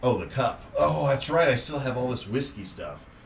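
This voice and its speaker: Audible room echo surrounds a man with an American accent. His intonation is lively. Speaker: podcast co-host. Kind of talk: casual chat. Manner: loud; animated.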